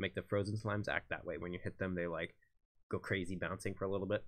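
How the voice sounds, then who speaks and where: Someone talks at a fairly quick pace over a quiet background. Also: man. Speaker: indie game developer streaming. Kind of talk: live stream commentary. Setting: live stream. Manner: fast; casual with many fillers.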